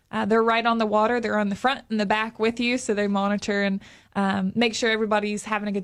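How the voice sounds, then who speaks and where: The speaker has an Appalachian accent. It is a very clean recording with a silent background. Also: woman. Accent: Appalachian American. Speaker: tourism representative. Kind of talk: radio interview. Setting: studio. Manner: fast.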